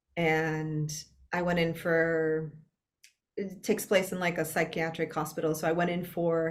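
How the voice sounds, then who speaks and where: At a moderate pace, a woman talks in a Spanish accent. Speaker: actor. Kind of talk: casual interview conversation.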